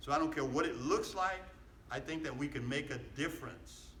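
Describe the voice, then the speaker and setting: Room echo can be heard around a man who talks fairly fast. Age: 70s. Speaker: pastor. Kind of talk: political rally speech. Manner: animated, repetitive call-and-response.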